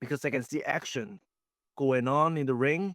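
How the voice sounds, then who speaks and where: With a Hong Kong accent, a man talks at a moderate pace and with ordinary pitch variation. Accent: Hong Kong Cantonese-accented English. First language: Chinese. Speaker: professional wrestler. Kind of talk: interview. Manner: halting.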